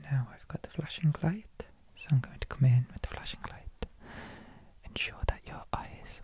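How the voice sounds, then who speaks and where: A man whispering amid noticeable background noise. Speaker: ASMR artist. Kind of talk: ASMR roleplay. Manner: whispered.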